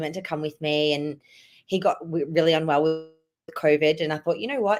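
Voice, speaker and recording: A woman with an Australian accent, fairly low in pitch, lively in intonation, on a very clean recording with a silent background. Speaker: hockey fan guest. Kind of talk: casual interview.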